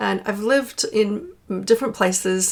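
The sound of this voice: A woman with an American accent speaks at a medium pitch. Vocal fry runs through her voice.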